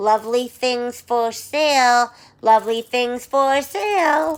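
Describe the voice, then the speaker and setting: Her pitch is high and she uses a put-on character voice. This woman talks at a fairly slow pace. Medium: read story. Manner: falsely sweet, scheming.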